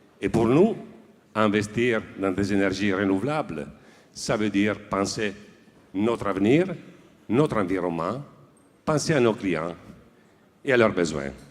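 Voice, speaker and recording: A man's fairly low voice at a fairly slow pace, with lively intonation and long, frequent pauses. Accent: Italian. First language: Italian (speaking French). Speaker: industrial director accepting an award. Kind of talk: acceptance speech. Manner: formal; hesitant, with fillers.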